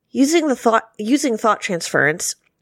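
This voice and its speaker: Lively in intonation, a woman talks at a moderate pace in an ordinary speaking voice, the sound dry and close with no echo on a very clean recording with a silent background. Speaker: podcast panelist. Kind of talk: casual chat.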